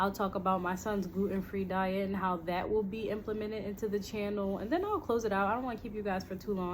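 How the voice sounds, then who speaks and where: Over noticeable background noise and audible room echo, a woman with an American accent talks at a very fast pace in a medium pitch with fairly even intonation. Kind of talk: casual channel intro monologue. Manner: hesitant, many fillers.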